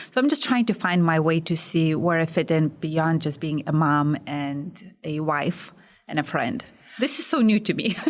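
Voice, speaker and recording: The speaker has a Lithuanian accent. Pace is moderate and pitch variation is ordinary. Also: woman, fairly low pitch for a woman. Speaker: small business owner. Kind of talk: podcast interview.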